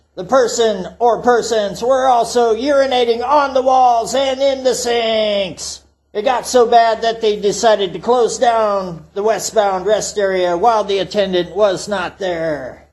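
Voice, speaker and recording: A man puts on a character voice pitched high for a man. He keeps a moderate pace with hardly any pauses. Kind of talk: folksy tall-tale storytelling. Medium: solo performance. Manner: refers to self in third person, rambling, profane.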